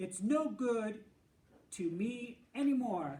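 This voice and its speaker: A man speaks with lively intonation. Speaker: mayor. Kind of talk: children's picture book read-aloud.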